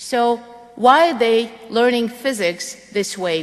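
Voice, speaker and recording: A woman talks with a Russian accent. Her pitch varies in an ordinary way. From Russia, Moscow. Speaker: physics education professor. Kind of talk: lecture.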